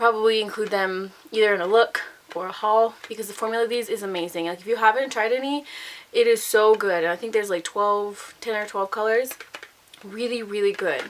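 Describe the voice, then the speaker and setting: A woman's fairly high voice with big swings in loudness over noticeable background noise. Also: fairly quick pace. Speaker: beauty vlogger. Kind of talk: casual product review. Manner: fast; animated.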